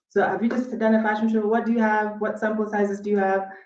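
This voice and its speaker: A woman rattles along at a very fast pace, her voice ringing with audible room echo. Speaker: workshop speaker. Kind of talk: conference workshop talk.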